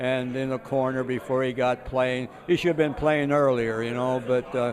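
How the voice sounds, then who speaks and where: A man of medium pitch speaks at a moderate pace with noticeable background noise behind him. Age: 80s+. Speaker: retired groundskeeper. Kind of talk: casual interview. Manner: halting, many fillers.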